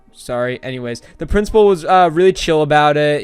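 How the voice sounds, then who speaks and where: A man talks at a fairly quick pace. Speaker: youtuber. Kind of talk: story time monologue. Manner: fast; animated.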